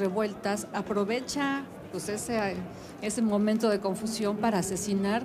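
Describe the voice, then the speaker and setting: A woman's monotone, flat voice over noticeable background noise. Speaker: interviewee. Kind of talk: interview answer. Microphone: handheld.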